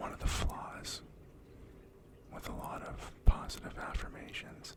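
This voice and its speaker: A man whispering, with big swings in loudness, over noticeable background noise. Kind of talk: ASMR positive affirmations and words of wisdom. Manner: soft whispered.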